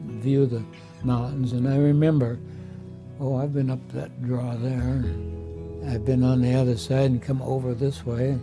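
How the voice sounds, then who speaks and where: A man with an American accent speaks at a medium pitch with ordinary pitch variation, music playing in the background. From Iowa, USA. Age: 80s+. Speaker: retired Navy veteran, nursing home resident. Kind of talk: testimonial interview answer.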